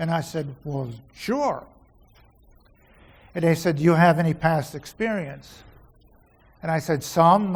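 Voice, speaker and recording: The man has a high-pitched voice. He speaks at a moderate pace. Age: 70s. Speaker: founding member of volunteer fire company. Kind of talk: banquet speech.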